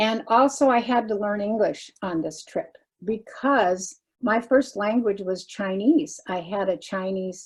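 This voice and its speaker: A woman speaks at a fairly slow pace in a somewhat breathy, fairly high voice with ordinary pitch variation. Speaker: retired missions pastor. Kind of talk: testimony.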